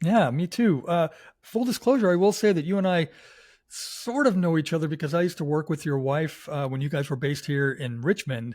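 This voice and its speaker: A man with a plain, everyday voice talks fairly quickly at a fairly high pitch with lively intonation. The recording is very clean, with a silent background. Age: 60s. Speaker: podcast guest host. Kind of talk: casual interview chat.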